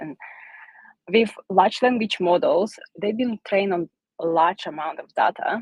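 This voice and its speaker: A woman with a non-native accent speaks at a fairly slow pace and medium pitch. Her intonation is lively, and the sound is dry and close with no echo. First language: not English. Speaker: solutions architect. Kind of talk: technical presentation.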